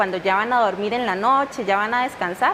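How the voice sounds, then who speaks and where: A woman rushes along very fast, pitch moving in an ordinary way, with noticeable background noise present. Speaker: audiologist. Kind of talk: TV interview.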